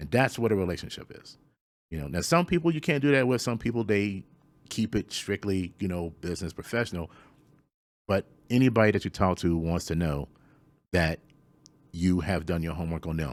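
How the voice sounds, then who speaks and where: Heard on a very clean recording with a silent background, a man with an American accent and a very deep, low pitch talks at a fairly quick pace with lively intonation and long, frequent pauses. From Central Virginia. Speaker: voice actor. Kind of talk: interview answer. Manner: casual, conversational.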